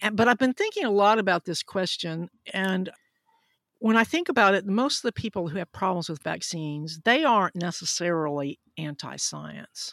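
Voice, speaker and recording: A woman at medium pitch and moderate pace, with lively intonation and a dry, close sound with no echo. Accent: Southern US. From US South, Huntsville, Alabama. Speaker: physician and science podcaster. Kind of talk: interview.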